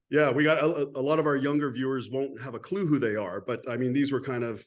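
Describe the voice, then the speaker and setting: Moving at a fairly quick pace, a man speaks in a plain, everyday voice at a medium pitch. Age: 50s. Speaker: podcast host. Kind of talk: casual interview chat.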